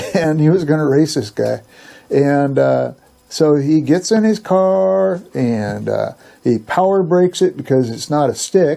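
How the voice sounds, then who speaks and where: With an American accent, a man talks at a fairly slow pace in a fairly high, dark, mellow voice that swings very widely in pitch. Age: old. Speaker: storyteller. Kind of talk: casual personal storytelling.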